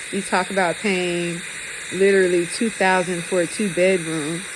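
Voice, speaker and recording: A woman's fairly low voice amid noticeable background noise and audible room echo. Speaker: vlogger in hospital recovery. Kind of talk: personal video diary. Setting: hospital ICU. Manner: halting, many ums.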